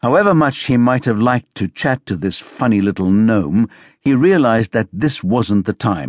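What you hear is a natural reading voice.

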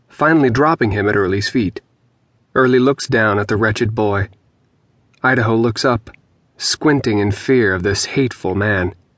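An unremarkable speaking voice at a moderate pace, with ordinary pitch variation and a dry, close sound with no echo. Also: man, very even loudness. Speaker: audiobook narrator. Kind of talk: dramatic audiobook narration of dark, grotesque fiction.

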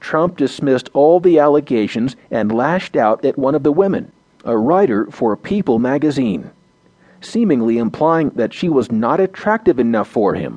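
A man's fairly high-pitched, normal speaking voice, at a moderate pace with lively intonation. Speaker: audio news narrator. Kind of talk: formal news reading of front-page articles. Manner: formal, measured, even-paced newsreader delivery; neutral and steady, reads headlines and bylines in crisp, clear tones.

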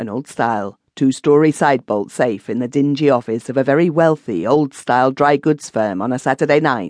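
The delivery is an unforced reading voice. Pitch varies in an ordinary way.

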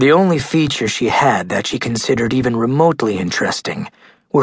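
With ordinary pitch variation, this is plain reading aloud.

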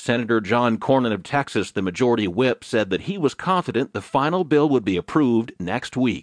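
A man with a normal speaking voice talks at a fairly quick pace with hardly any pauses, his medium pitch carrying lively intonation. The sound is dry and close with no echo, over a quiet background. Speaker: audiobook news narrator. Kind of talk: news reading, scripted digest of newspaper articles. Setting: studio recording, audiobook. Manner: formal, even and measured newsreader delivery; steady, unemotional pace, clear enunciation.

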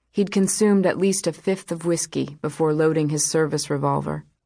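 Pitch varies in an ordinary way as the speaker holds a moderate pace. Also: woman. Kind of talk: audiobook narration, first-person dramatic. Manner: measured, reflective, somber.

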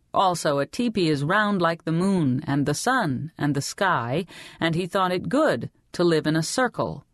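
A woman with a normal speaking voice talks at a moderate pace in a fairly low pitch with lively intonation. Her loudness stays very even, with a dry, close sound with no echo and a quiet background. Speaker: audiobook narrator. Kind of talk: dramatic audiobook narration of historical fiction, reading a girl's inner thoughts. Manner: measured, vividly descriptive storytelling pace; voices the heroine's longing lines with wistful emotion.

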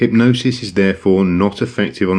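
Against a quiet background, a man with a fairly low pitch uses a normal speaking voice. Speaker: hypnosis narrator. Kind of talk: guided hypnosis. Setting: audiobook recording, listener at home with headphones. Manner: calm, soothing; slow, gentle, reassuring.

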